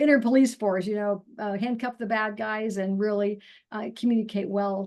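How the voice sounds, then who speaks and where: Against a quiet background, a woman with a plain, everyday voice speaks at a medium pitch and moderate pace, her intonation fairly even. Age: 60s. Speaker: naturopathic doctor and nutrition counselor. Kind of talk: interview testimony. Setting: video call.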